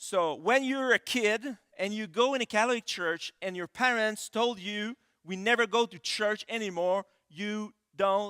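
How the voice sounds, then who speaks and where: A man's raised, projected voice in a Quebec accent, high-pitched for a man with ordinary pitch variation, bright and sharp in tone, at a fairly slow pace, with a dry, close sound and no echo. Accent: French-Canadian accent in English. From Quebec City, Canada. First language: French. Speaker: pastor. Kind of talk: sermon. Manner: halting, many fillers.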